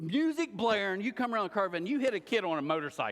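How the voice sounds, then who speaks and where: A man talks very fast and loud in a high voice with lively intonation, on a very clean recording with a silent background. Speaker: pastor. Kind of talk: sermon.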